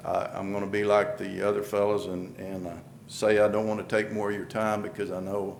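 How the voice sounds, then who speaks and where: A man speaks in a fairly low pitch with a New Mexico accent. Audible room echo surrounds his voice. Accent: rural southwestern US, New Mexico. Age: 60s. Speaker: candidate for appointed public office, rancher. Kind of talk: public statement at commission meeting. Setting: county commission meeting room. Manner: halting, many repetitions and fillers.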